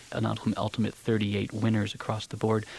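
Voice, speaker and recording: A man with an American accent speaks at a fairly low pitch. His intonation is monotone and flat, with noticeable background noise. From United States. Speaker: opera singer. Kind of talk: radio interview. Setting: radio studio.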